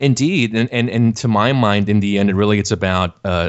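With an American accent, a man speaks in a plain, everyday voice at a fairly low pitch, with ordinary pitch variation. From South Texas (Laredo). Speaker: podcast host and website editor. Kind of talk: interview.

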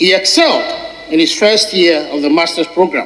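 At a moderate pace, a man talks in a fairly high pitch with a fairly bright tone and ordinary pitch variation.

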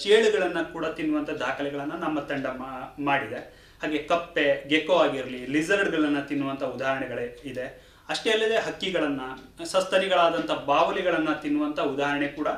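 Noticeable background noise and audible room echo around a man's speaking voice. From Uttara Kannada, Karnataka, India. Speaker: forest officer. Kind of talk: radio interview.

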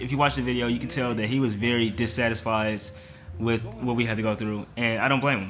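Faint music plays in the background. A man talks at a very fast pace with ordinary pitch variation. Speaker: reaction youtuber. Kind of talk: casual vlog chat. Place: home room.

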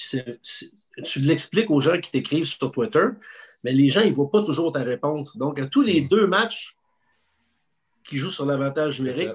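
A man with a Quebec accent, somewhat breathy, ordinary pitch variation, against a quiet background. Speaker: sports journalist. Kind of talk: casual chat; interview answer. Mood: animated storytelling a lot. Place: home room. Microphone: video call.

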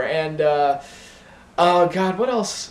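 A man speaks at a high pitch. There is audible room echo. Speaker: vlogger. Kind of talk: casual vlog chat. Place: home room. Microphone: camera far.

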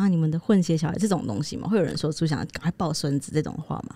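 A woman with a very deep, low pitch and a dark, mellow, somewhat breathy tone speaks at a fairly quick pace with ordinary pitch variation. The sound is dry with no echo, and the background is quiet. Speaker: podcast co-host. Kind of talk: casual chat. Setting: studio. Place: studio. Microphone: studio mic.

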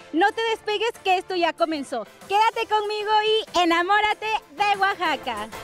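A woman's extremely high-pitched voice at a moderate pace with ordinary pitch variation, dry with no echo, faint music in the background. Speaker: TV program host. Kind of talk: TV presenter intro. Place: street. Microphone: handheld.

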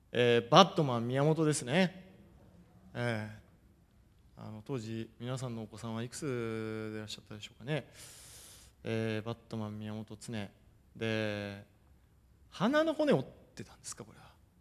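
Speaking at a moderate pace, a man uses ordinary pitch variation, with big swings in loudness and long, frequent pauses. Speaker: football coach. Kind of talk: lecture. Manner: formal. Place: hall. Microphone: podium.

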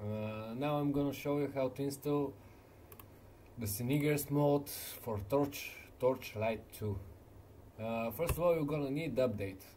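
Someone with a non-native accent speaks at a fairly slow pace in a dark, mellow, somewhat breathy tone, using ordinary pitch variation and long, frequent pauses. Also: man, fairly high pitch for a man. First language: not English. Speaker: gaming video maker. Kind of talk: tutorial. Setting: screen recording voiceover. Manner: halting, hesitant with fillers.

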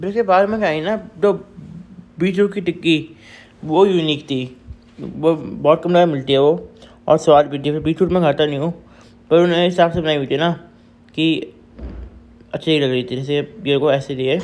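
Ordinary pitch variation marks a man's speech at a moderate pace. He leaves long, frequent pauses. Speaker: food vlogger. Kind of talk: casual vlog chat. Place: cafe. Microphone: phone near.

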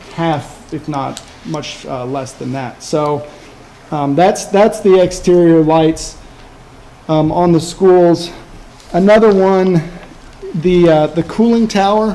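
Speaking at a very slow pace with long, frequent pauses, a man with a high voice shows big swings in loudness and ordinary pitch variation. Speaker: energy services project manager. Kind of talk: business presentation. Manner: hesitant, many fillers. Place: meeting room. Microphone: podium.

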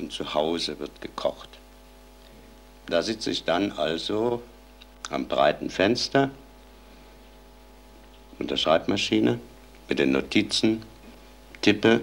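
A man talks at a very slow pace. His speech is broken by long, frequent pauses. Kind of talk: personal commentary. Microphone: old recording.

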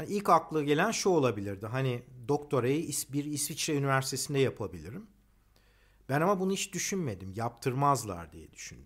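Against a quiet background, a man speaks at a fairly quick pace with very wide pitch swings and big swings in loudness. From Turkey. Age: 50s. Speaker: economist and engineer. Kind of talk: personal monologue; personal talk, monologue. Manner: hesitant, many fillers. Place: garden. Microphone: phone near.

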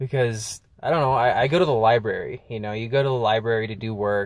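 The sound is dry with no echo as a man speaks with ordinary pitch variation. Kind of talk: casual vlog chat. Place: car. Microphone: phone near.

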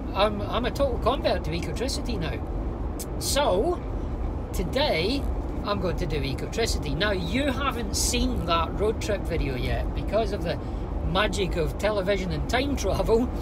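A man speaks at a moderate speed as loud noise fills the background. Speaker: car vlogger. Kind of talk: casual vlog chat. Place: car. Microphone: lapel.

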